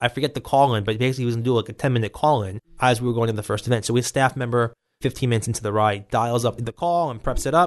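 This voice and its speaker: The speaker is a man with an American accent. His words come out very fast. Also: quiet background. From Brooklyn, New York. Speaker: political candidate. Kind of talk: interview. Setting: studio.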